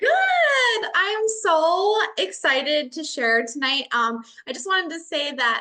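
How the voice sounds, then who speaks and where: In a Minnesotan accent, a woman talks with a bright, sharp tone and very wide pitch swings. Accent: Minnesota. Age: 40s. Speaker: educator and online business owner. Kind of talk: testimony.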